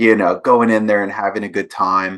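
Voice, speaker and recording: Delivered at a moderate pace, the voice has a bright, sharp tone. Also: man. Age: 40s. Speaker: podcast host and animation teacher. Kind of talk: casual interview chat.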